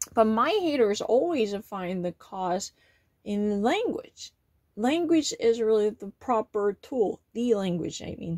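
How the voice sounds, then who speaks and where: Against a quiet background, a woman with a Korean accent and a fairly high pitch speaks at a very slow pace. Her intonation is lively and her loudness swings a lot. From South Korea. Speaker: vlogger. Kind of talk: monologue to camera. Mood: aggrieved, complaining about critics. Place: home room. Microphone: phone near.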